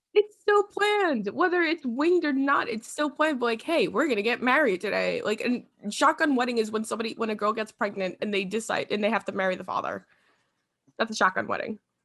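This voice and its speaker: A woman with a New York accent, very fast pace, fairly high pitch, animated tone and lively intonation. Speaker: podcast host. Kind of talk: casual chat.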